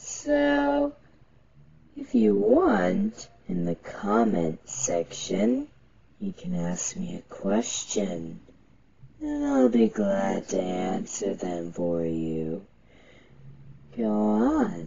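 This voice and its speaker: Someone puts on a character voice with a low pitch at a very slow pace. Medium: role play. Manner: menacing, taunting.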